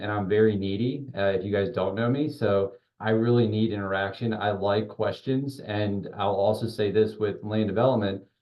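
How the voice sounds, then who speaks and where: This is a man with a plain, everyday voice. He speaks at a moderate pace with fairly even intonation. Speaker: real estate consultant. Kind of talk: webinar presentation.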